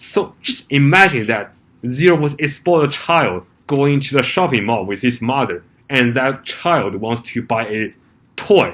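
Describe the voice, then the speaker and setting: At a fairly slow pace, a man with medium pitch speaks with lively intonation. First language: not English. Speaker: YouTuber. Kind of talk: vlog commentary. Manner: halting, with many fillers.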